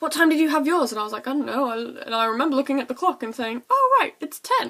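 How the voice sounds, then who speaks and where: Over noticeable background noise, a woman with an English accent talks at a high pitch with ordinary pitch variation. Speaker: vlogger. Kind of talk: casual chat. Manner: fast.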